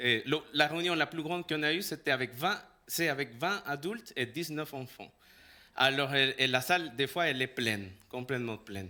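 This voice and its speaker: A man speaks with a Salvadoran accent. His pitch is fairly high and his tone bright and sharp. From El Salvador. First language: Spanish (speaking French). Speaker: pastor. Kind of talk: sermon. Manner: halting.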